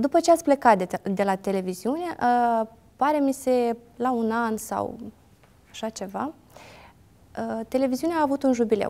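A woman's high-pitched voice with a dark, mellow tone, at a moderate pace with long, frequent pauses. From Moldova, Ialoveni; Moldova. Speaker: interviewer. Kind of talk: interview. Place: studio. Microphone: lapel.

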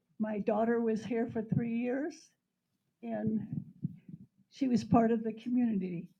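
Somewhat breathy and unhurried, a woman's dark, mellow tone at a fairly slow pace. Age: 90s. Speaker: public commenter at county meeting. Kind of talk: public comment. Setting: community center meeting hall with microphone. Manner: halting, repeating words.

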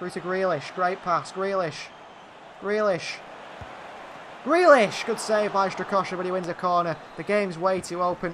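An excited tone comes through with long, frequent pauses over noticeable background noise. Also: man, high pitch for a man. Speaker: video game commentator. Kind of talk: live commentary over gameplay. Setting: gaming video channel voiceover. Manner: rapid-fire, clipped play-by-play; excited, reacting to goals.

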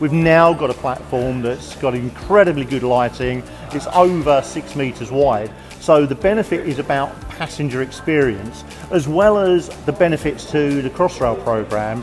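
Male speech at a moderate pace with ordinary pitch variation, clear music in the background. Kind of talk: interview answer. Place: station.

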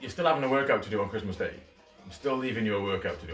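Faint music plays in the background. Over it, a man speaks with ordinary pitch variation. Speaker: fitness instructor. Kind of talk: live workout instruction. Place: home room. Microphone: camera far.

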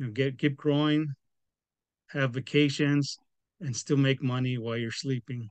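The man talks at a moderate pace with fairly even intonation, in a dry sound with no echo and a quiet background. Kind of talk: interview answer. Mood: calm, hopeful. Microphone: video call.

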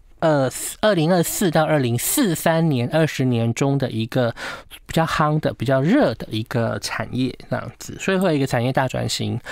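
A man with a Taiwanese accent speaks at a moderate pace in a fairly high pitch, with ordinary pitch variation. The sound is dry with no echo, against a quiet background. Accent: Taiwanese Mandarin. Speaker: feng shui consultant. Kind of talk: casual chat. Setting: studio. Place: studio.

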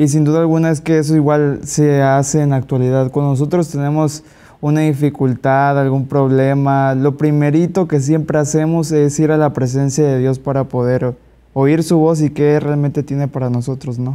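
A man's dark, mellow tone in a Mexican accent, fairly high in pitch, flat and monotone in intonation, very even in loudness, at a moderate pace. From Mexico. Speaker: Bible study participant. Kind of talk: Bible study discussion. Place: studio. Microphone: lapel.

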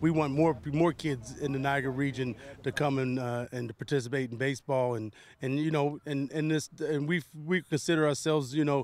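Light background noise surrounds a man with an American accent talking at a fairly quick pace. His intonation is fairly even, and the sound is dry with no echo. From US South (West Virginia). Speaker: baseball academy owner, former pro player; baseball academy coach. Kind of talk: interview. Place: open country. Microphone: handheld.

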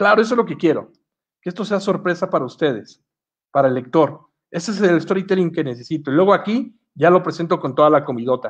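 Speaking at a very fast pace, a man uses lively intonation at a high pitch. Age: 40s. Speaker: comic and storyboard artist. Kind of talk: online masterclass. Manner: hesitant, many fillers.

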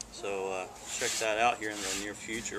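A man speaks at a fairly low pitch in a monotone, flat delivery. Background noise is noticeable. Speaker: pipe reviewer. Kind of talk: casual vlog chat. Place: garden. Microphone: camera far.

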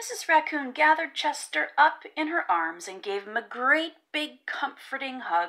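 Speaking at a fairly slow pace, a woman uses a high, bright, sharp voice with big pitch swings.

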